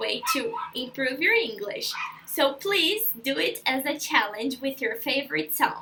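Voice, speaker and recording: Over noticeable background noise, a woman with a Brazilian accent raises and projects her voice with very wide pitch swings. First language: Portuguese. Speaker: language school intern. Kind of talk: tutorial. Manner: casual, friendly.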